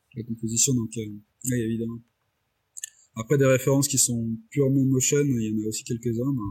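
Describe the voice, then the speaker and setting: A man speaks at a fairly quick pace with long, frequent pauses. His voice is dark, mellow, somewhat breathy and flat in a monotone. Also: medium pitch for a man. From Réunion. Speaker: motion designer and director. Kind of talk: interview. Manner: hesitant, many fillers and repetitions.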